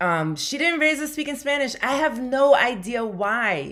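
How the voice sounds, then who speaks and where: The voice belongs to a woman. She speaks with a New York accent. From New York (Bronx), Puerto Rican family. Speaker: comedian. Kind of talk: casual chat.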